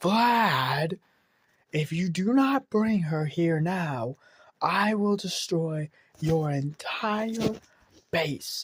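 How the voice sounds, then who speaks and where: In a put-on character voice at a middle pitch, the speaker talks at a very slow pace with long, frequent pauses. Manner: threatening, commanding.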